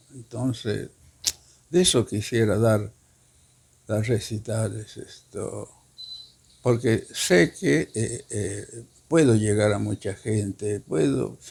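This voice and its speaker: Very slow delivery with long, frequent pauses, ordinary pitch variation and noticeable background noise. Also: man, fairly low pitch for a man. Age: 80s+. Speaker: poet. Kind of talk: interview.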